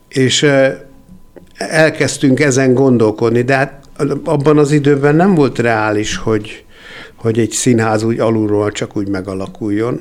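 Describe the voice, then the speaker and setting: Speaking in a normal speaking voice, a man has a medium pitch and ordinary pitch variation. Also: fairly slow pace. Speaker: composer and theatre founder. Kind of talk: interview.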